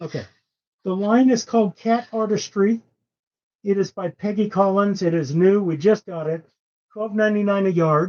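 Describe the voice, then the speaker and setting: The speaker mumbles at a moderate pace. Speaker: live sale host for quilting fabric. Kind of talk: casual live-stream sales talk. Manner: mumbling; casual, joking.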